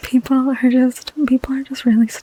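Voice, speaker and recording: The speaker is soft-spoken, with noticeable background noise behind the voice. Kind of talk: ASMR comfort call roleplay, casual chatty talk to the listener. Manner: soft-spoken, intimate, friendly.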